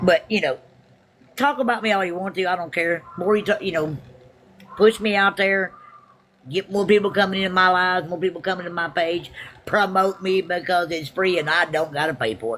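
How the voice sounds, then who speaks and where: Noticeable background noise is present throughout. The talking proceeds at a fairly quick pace. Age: 60s. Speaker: live streamer. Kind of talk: casual live stream chat.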